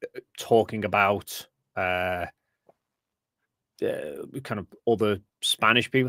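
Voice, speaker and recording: Speaking at a very slow pace with long, frequent pauses and big swings in loudness, a man with an English accent comes through in a very clean recording with a silent background and a dry, close sound with no echo. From England. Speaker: science communicator, flat earth debunker. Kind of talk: interview.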